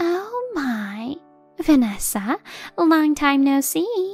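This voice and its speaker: A put-on character voice, pitched high, moves through very wide pitch swings at a very slow pace. Faint music plays in the background. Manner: overly sweet, insincere.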